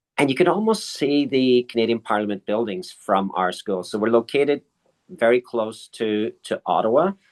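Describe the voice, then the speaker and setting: Speaking at a moderate pace with a slight Irish accent, a man uses lively intonation at a medium pitch, and the sound is dry and close with no echo. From Ireland. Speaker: school principal. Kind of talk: interview. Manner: halting, with repetitions.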